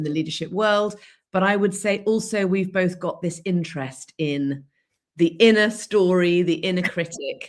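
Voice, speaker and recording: A woman in an English accent at a fairly slow pace, medium pitch and ordinary pitch variation. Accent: very English. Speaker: leadership and storytelling coach. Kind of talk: live-streamed interview podcast.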